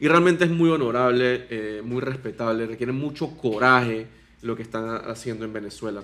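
In an unremarkable speaking voice, a man talks at a moderate pace with a medium pitch and ordinary pitch variation. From Panama. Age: 20s. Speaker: political candidate. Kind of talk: interview.

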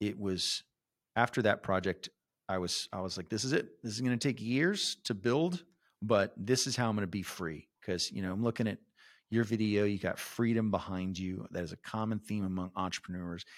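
A man with an American accent uses a plain, everyday voice, fairly low in pitch, with ordinary pitch variation. He keeps a moderate pace on a very clean recording with a silent background. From San Antonio, Texas. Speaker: real estate investor. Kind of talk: interview.

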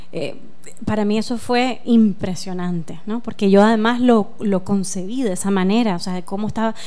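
A woman at a medium pitch and moderate pace, with fairly even intonation and audible room echo. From Nicaragua. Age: 40s. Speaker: filmmaker. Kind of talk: radio interview.

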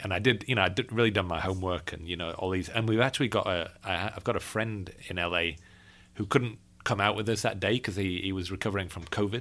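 A man in a Yorkshire accent at a very fast pace, fairly low in pitch, with fairly even intonation, in a very clean recording over a silent background. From Yorkshire, northern England. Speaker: birding podcast host. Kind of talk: casual chat. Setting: travelling in California.

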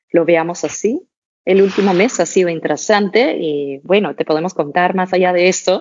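This woman speaks at a moderate pace. Her pitch varies in an ordinary way. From Denmark, small town. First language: Danish (speaking Spanish). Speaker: fashion brand co-founder. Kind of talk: interview.

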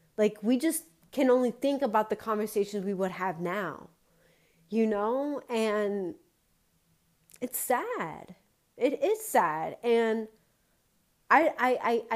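A woman speaks at a very slow pace with long, frequent pauses. Her pitch is fairly high, with ordinary variation. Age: 30s. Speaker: podcast host. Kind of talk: motivational monologue.

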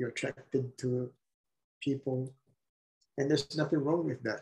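The man's voice is somewhat breathy, and his intonation is monotone and flat. He talks at a moderate pace. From Philippines. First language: Tagalog. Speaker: podcast guest sharing coming-out story. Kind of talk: casual interview, personal testimony. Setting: remote call.

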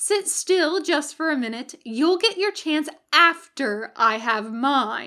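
A woman uses a put-on character voice at a high pitch. She speaks at a fairly slow pace, with hissing audible.

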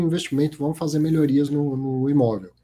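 A man's fairly high-pitched voice, somewhat breathy, with a dark, mellow tone. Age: 40s. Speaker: financial podcast host. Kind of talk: live show commentary and interview. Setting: live stream.

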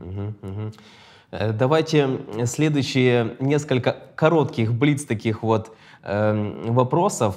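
A man speaks very slowly with ordinary pitch variation. The recording is very clean, with a silent background. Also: medium pitch for a man. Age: 30s. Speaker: podcast host. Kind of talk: interview.

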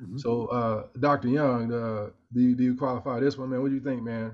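This is an ordinary speaking voice, with fairly even intonation. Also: man. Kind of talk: casual chat.

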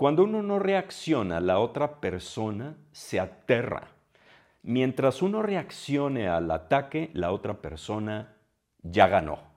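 At a medium pitch, a man speaks very slowly. His pitch swings very widely. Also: quiet background. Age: 60s. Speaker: podcast host. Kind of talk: solo monologue. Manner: hesitant, with filler sounds.

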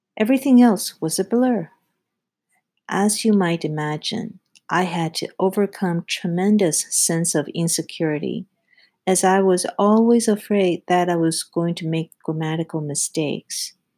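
A woman with a non-native accent, fairly low in pitch and fairly slow, on a very clean recording with a silent background. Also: ordinary pitch variation. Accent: foreign-accented English. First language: not English. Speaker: podcast host, project execution specialist. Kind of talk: scripted solo monologue, self-help advice.

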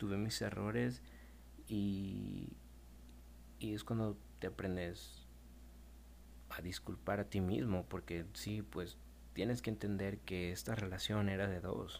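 A man speaks at a very slow pace in a very deep, low pitch, leaving long, frequent pauses. His voice is somewhat breathy and swings very widely in pitch. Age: 20s. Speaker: podcaster, young father. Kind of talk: personal storytelling monologue.

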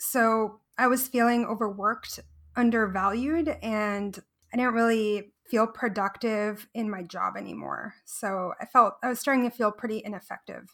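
A woman's fairly high, normal speaking voice at a moderate pace, with fairly even intonation. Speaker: cloud developer advocate. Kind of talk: casual interview chat.

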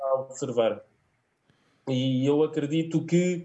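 This man's voice is fairly high in pitch. It carries a somewhat breathy quality. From Alentejo, southern Portugal. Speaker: sports fan commentator. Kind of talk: casual sports discussion. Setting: online video call.

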